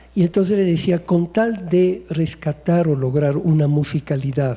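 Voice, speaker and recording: A man with an Italian accent speaks at a fairly slow pace in a fairly high voice. His tone is dark and mellow, with ordinary pitch variation. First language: Italian (speaking Spanish). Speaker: poet. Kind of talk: panel discussion.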